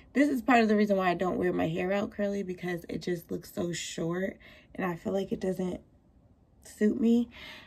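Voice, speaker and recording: A woman's somewhat breathy voice at medium pitch, with ordinary pitch variation, a moderate pace and long, frequent pauses. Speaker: salon and lash suite owner vlogger. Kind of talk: casual vlog. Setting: in a car, then studio.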